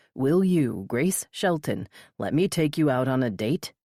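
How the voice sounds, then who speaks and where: A woman's growling put-on character voice, very deep and low in pitch with very wide pitch swings, very even loudness and a moderate pace, dry and close with no echo on a very clean recording with a silent background. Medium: read story. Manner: teasing, playful.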